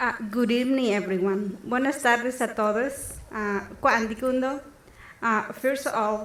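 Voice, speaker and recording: Amid audible room echo, a woman with a high pitch speaks at a fairly slow pace with fairly even intonation. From Guerrero, Mexico (Mixtec community). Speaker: scholarship recipient. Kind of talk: prepared speech. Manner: halting, many fillers.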